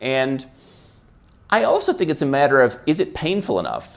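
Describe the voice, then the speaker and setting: Ordinary pitch variation marks a man talking with a Midwestern American accent. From US Midwest. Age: 30s. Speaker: international tax and residency consultant. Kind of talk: interview.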